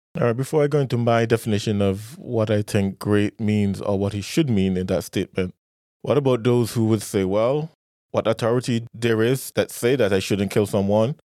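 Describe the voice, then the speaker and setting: A man with a medium pitch, ordinary pitch variation and a dark, mellow tone is recorded very cleanly against a silent background, with a dry, close sound and no echo. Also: moderate pace. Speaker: podcast host. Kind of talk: casual chat.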